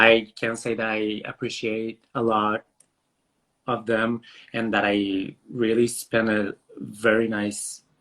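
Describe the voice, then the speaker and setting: A man speaks at a medium pitch with a monotone, flat intonation. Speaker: drag performer. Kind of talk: interview. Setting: video call.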